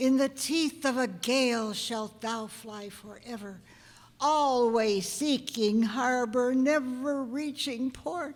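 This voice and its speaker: Using a put-on character voice, a female-sounding speaker talks at a fairly slow pace with a high pitch for a woman. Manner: solemn, commanding.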